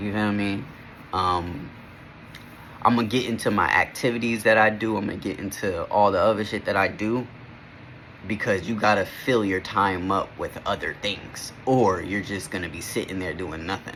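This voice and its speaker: A man's fairly low pitch, fairly even intonation and moderate pace. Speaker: vlogger. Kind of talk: casual vlog monologue. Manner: halting, self-correcting; casual, slangy.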